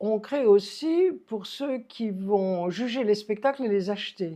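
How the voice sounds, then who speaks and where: A woman with a fairly high pitch and a dark, mellow tone speaks at a very slow pace. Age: 80s+. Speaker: puppeteer and stage director. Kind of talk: interview. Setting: recorded in Montélimar. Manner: halting.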